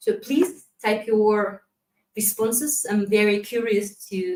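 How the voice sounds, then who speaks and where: This woman speaks at a very slow pace in a Kazakh accent. Her pitch is fairly high, with ordinary variation. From Kazakhstan. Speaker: community manager. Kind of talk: conference presentation. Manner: halting.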